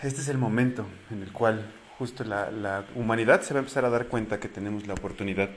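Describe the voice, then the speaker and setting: Medium pitch marks this man's voice. He talks at a moderate pace with ordinary pitch variation. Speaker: podcast host. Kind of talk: casual monologue. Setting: at home, living room. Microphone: no microphone, may sound distant.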